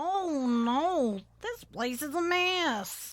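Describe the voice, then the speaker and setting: A woman puts on a character voice pitched high. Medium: audio drama. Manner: calm.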